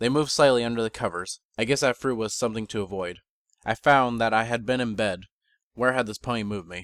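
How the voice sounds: The intonation stays fairly even in this natural reading voice. Nothing stirs in the background.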